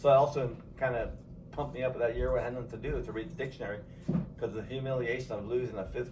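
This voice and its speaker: A man with a Californian accent, medium pitch, fairly even intonation, somewhat breathy delivery and a fairly quick pace, with audible room echo. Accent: Californian American English. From Los Angeles, San Fernando Valley. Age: 60s. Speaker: grandfather interviewed by family. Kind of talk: casual family interview.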